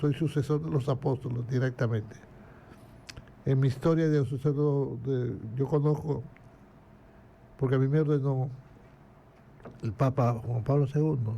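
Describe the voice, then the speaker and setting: A man's fairly high, somewhat breathy voice with a dark, mellow tone, fairly even intonation and a moderate pace. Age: 80s+. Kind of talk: casual interview.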